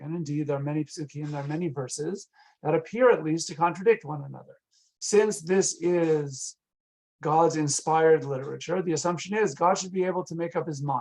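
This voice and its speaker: Speaking at a fairly quick pace with an American accent, the man has a fairly high pitch and ordinary pitch variation. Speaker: rabbi and Bible lecturer. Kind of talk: online lecture. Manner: fast.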